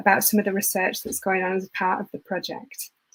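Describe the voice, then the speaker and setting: A woman speaks with a South Yorkshire accent. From northern England, Rotherham, South Yorkshire. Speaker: event host, university outreach organizer. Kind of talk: live online event hosting. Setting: online livestream from home. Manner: chatty, filler-heavy.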